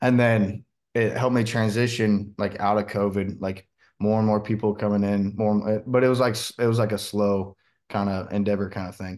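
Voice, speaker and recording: Fairly quick, monotone, flat speech with an American accent against a quiet background. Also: man, fairly low pitch for a man. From Washington State, US. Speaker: country singer. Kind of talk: interview.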